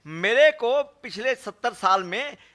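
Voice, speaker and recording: In a raised, projected voice, a man talks with a bright, sharp tone. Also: dry, close sound with no echo. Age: 70s. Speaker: politician and cardiologist. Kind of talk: press conference. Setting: press conference.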